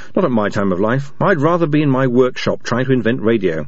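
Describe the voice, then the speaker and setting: Against noticeable background noise, a man speaks in an animated tone at a moderate pace. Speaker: audiobook narrator. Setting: studio. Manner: animated, wry storyteller, switching between dialogue voices with dry humour; measured, clear pacing.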